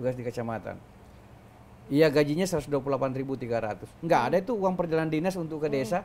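Talking at a fairly quick pace, a man with a fairly high pitch swings widely in loudness. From South Sulawesi, Bone regency (Bugis); South Sulawesi. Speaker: senior government official; guest. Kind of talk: interview. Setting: office with open windows. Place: studio. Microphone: lapel.

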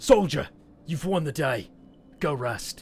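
A man's put-on character voice, fairly high in pitch, at a fairly slow pace. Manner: gruff, commanding.

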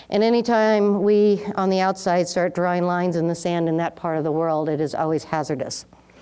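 Against a quiet background, a woman with an American accent speaks fairly quickly with hardly any pauses, at a fairly low pitch. Her tone is dark and mellow, her loudness very even, and her intonation fairly even. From United States. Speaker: retired ambassador and public policy lecturer; public policy lecturer. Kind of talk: lecture. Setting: stage with audience. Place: hall. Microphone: podium.

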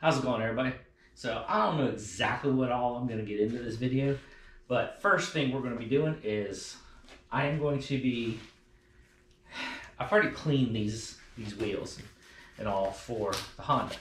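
A man at a moderate pace, with ordinary pitch variation, long, frequent pauses and audible room echo. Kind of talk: casual vlog tutorial. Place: garage.

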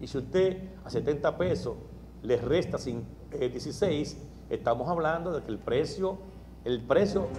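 A man talks at a very slow pace. Light background noise can be heard. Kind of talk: press conference statement. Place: hall. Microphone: handheld.

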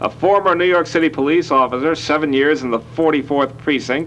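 Music can be heard behind the talking. The man keeps a moderate pace. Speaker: TV show host. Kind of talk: guest introduction. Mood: joking, light-hearted. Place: studio. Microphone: lapel.

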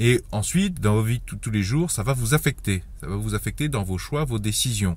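The voice is somewhat breathy with lively intonation, moving at a moderate pace in a dry sound with no echo. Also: man. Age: 30s. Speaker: YouTuber giving personal finance advice. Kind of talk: online video monologue. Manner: halting. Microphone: phone near.

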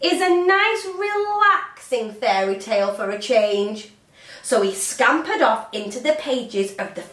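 Someone plainly reads a text aloud.

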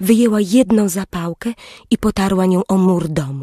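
A woman's voice with a dark, mellow tone comes through with a dry, close sound and no echo. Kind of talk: bedtime story audiobook narration. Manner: slow, soft, gentle storyteller's pacing.

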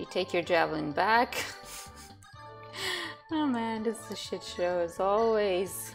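Over clear music in the background, a woman talks at a fairly slow pace with long, frequent pauses. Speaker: gamer. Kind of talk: casual gameplay commentary. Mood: frustrated, playful swearing. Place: home room.

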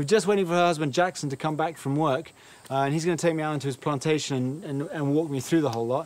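Heard in a dry sound with no echo, a man is speaking. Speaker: travel food show host. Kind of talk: casual presenter commentary. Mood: playful, joking. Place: open country. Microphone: lapel.

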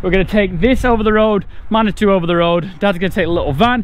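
A man talks at a very fast pace in a high voice, with a dry sound and no echo. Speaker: farmer vlogger. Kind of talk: casual vlog chat. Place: farm machine. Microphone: phone near.

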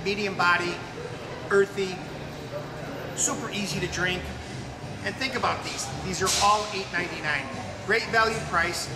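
With music in the background, a man talks at a moderate pace with ordinary pitch variation and long, frequent pauses. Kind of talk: casual product promotion live stream. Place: shop. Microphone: camera far.

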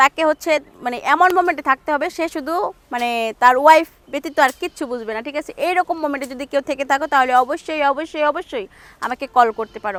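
High-pitched, a woman speaks with ordinary pitch variation and big swings in loudness, in a dry, close sound with no echo. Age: 20s. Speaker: interviewee seeking marriage. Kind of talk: interview.

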